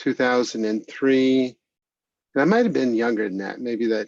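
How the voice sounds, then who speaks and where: Here is a normal speaking voice from a man at medium pitch. He keeps a moderate pace with fairly even intonation. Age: 60s. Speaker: executive director of a recovery organization. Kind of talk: interview testimony. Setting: video call.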